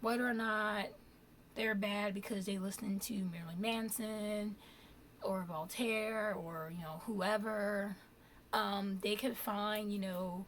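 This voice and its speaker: Speaking at a very slow pace, a woman keeps a medium pitch and fairly even intonation. There is audible room echo. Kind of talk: casual vlog talk.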